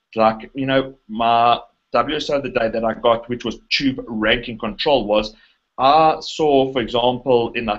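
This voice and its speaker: Speaking with a South African accent, a man uses a medium pitch and fairly even intonation at a fairly slow pace. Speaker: internet marketer. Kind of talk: interview conversation. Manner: halting, many fillers and restarts.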